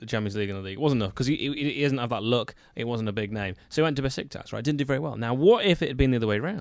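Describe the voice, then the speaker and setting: A man with an English accent talks at a very fast pace with hardly any pauses. His pitch is medium, with ordinary variation. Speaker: football podcast co-host. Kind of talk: casual chat. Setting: studio.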